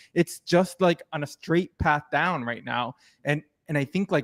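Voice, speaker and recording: At a fairly slow pace, a man with an American accent and a plain, everyday voice speaks at a fairly high pitch with ordinary variation, the sound dry and close with no echo. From United States. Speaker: podcast host. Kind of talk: interview. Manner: casual, many fillers.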